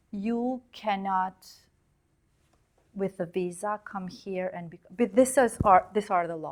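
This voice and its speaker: Very slowly, a woman speaks at a medium pitch with ordinary pitch variation and long, frequent pauses. Her loudness swings widely in a very clean recording with a silent background. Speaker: investigative journalist. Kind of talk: interview conversation.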